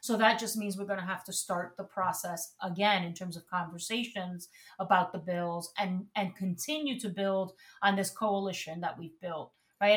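At a moderate pace, a woman with a Spanish accent speaks at a medium pitch and sounds somewhat breathy. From Puerto Rico. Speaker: former city council member and campaign manager. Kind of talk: interview.

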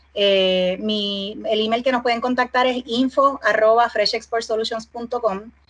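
With hardly any pauses, a woman talks at a fairly slow pace in a fairly high pitch, her intonation fairly even, over noticeable background noise. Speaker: export business founder. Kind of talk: casual interview.

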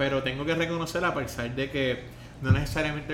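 Speaking in a Puerto Rican accent, a man with a fairly high pitch and ordinary pitch variation goes at a fairly quick pace amid audible room echo and noticeable background noise. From Puerto Rico. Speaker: podcast host. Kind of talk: interview. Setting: in-person studio interview.

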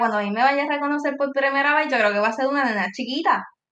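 A woman with a Puerto Rican accent speaks at a high pitch. Her raised, projected voice has a bright, sharp tone. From Puerto Rico. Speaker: TikTok creator. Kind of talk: casual interview.

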